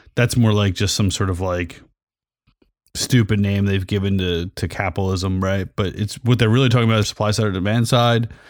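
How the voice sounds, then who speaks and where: A man's unremarkable speaking voice, fairly low in pitch, with fairly even intonation and a fairly quick pace. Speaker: podcast host. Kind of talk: casual banter podcast. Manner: joking, sarcastic.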